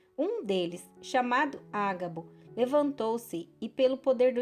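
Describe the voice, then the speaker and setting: With music in the background, the speech moves at a fairly slow pace with lively intonation. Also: woman. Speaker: Bible narrator. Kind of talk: audio Bible reading.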